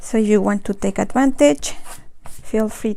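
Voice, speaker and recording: A woman with a Spanish accent speaks at a fairly slow pace in a fairly high pitch. Her tone is dark and mellow, with ordinary pitch variation. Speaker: watercolor art teacher. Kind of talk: live painting tutorial. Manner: halting, with false starts.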